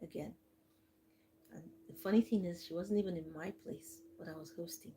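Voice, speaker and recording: A soft-spoken woman talks at a fairly quick pace with a fairly low pitch and ordinary pitch variation. Her tone is dark and mellow, with vocal fry. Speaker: livestream host. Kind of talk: live storytelling to viewers. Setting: live stream.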